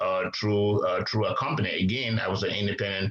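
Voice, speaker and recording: A man talking at a fairly quick pace amid noticeable background noise and audible room echo. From Liberia. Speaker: businessman. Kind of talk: interview. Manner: hesitant, many fillers.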